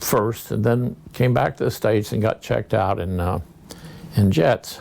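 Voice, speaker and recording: A man with an American accent speaks fairly slowly at a fairly low pitch, with ordinary pitch variation. Noticeable noise sits in the background. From US Midwest, rural Kansas. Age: 80s+. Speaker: war veteran. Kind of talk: interview. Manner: halting.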